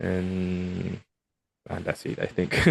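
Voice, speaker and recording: The speaker has a Spanish accent. Delivery is very slow. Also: man, dry, close sound with no echo. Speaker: remote worker, podcast guest. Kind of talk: casual interview chat. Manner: halting, with many repetitions.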